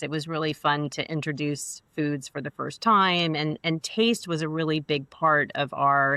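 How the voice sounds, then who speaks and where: A woman with an American accent speaks at a moderate pace in a very deep, low voice with a bright, sharp tone. The sound is dry and close with no echo, and the background is quiet. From New York, US. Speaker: food business founder. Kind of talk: interview. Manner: halting.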